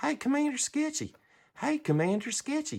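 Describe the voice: A woman speaks at a moderate pace in a put-on character voice, high-pitched, on a very clean recording with a silent background.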